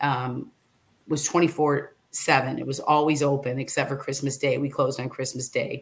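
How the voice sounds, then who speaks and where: With a Midwestern US accent, a woman speaks in a very deep, low pitch, somewhat breathy and monotone, with flat intonation. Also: moderate pace. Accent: US Midwest. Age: 60s. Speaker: former reality show contestant and motivational speaker. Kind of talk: casual interview chat. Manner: hesitant, many fillers and restarts.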